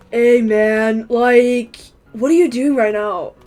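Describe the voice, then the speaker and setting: Speaking at a very slow pace, a woman does a put-on character voice pitched high. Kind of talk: casual. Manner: annoying.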